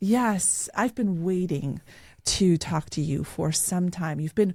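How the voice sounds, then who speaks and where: A breathy-ish woman's voice with a dark, mellow tone and a non-native accent, fairly slow, on a very clean recording with a silent background. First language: not English. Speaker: podcast host, real estate agent. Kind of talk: interview.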